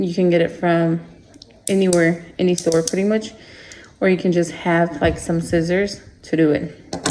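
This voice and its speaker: Over noticeable background noise, a woman speaks in a flat monotone at a moderate pace, with long, frequent pauses. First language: Spanish. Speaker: craft small-business owner. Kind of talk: tutorial. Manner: casual, hesitant with fillers.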